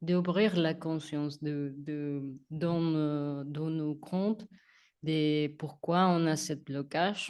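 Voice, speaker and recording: The pace is very slow, with a non-native accent. The background is quiet. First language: not French (speaking French). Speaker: spiritual coach. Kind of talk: casual chat. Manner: halting.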